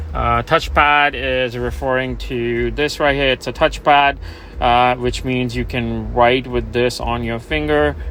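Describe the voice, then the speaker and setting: Noticeable background noise is present throughout. Over it, a man speaks fairly slowly. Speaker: car salesman. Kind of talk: product walkaround tutorial.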